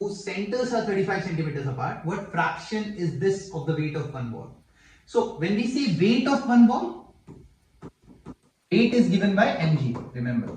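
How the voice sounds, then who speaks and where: A high-pitched man at a moderate pace, with very wide pitch swings and audible room echo. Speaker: physics teacher. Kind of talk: tutorial.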